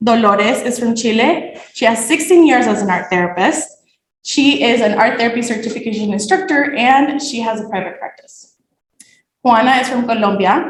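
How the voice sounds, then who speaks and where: This woman's voice sits fairly high, with lively intonation at a moderate pace. Room echo is audible. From Nicaragua. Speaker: graduate student. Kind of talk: thesis presentation.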